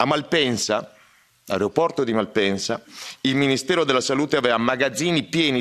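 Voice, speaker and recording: A man speaks at a fairly quick pace. He has a plain, everyday voice. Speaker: doctor. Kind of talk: conference speech.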